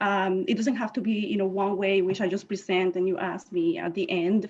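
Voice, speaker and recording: Woman's medium-pitched voice at a fairly quick pace, with a Spanish accent. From Puerto Rico. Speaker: scientist and inventor. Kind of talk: presentation. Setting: video call.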